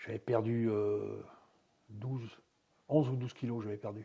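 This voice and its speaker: Long, frequent pauses break up a man's monotone, flat intonation as he speaks somewhat breathily at a fairly slow pace, with a medium pitch and a dark, mellow tone. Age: 70s. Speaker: retired karate champion. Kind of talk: interview.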